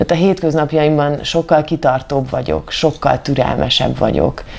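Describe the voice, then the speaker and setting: The speech goes at a moderate pace. Music plays in the background. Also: woman. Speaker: actress and amateur runner. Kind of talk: interview.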